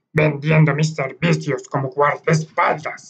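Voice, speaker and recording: The speaker is a man. His voice has ordinary pitch variation. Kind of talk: archaic formal Castilian speech. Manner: formal, courteous.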